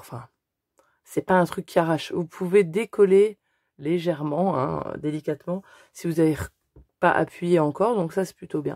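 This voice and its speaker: Dark, mellow tone at a moderate pace, with ordinary pitch variation and a dry, close sound with no echo on a very clean recording with a silent background. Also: woman. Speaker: scrapbooking youtuber. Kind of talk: tutorial. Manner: halting, many hesitations.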